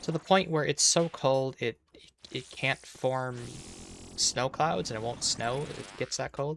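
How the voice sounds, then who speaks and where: An American man speaks at a fairly slow pace with ordinary pitch variation. The sound is dry and close, with no echo. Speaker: video game streamer. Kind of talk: casual chat with live stream viewers. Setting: live stream.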